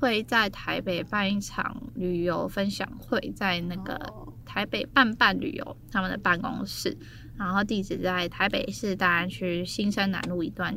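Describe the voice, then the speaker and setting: A woman's bright, sharp voice with vocal fry at a fairly slow pace. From Taiwan. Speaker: travel business founder. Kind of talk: casual chat.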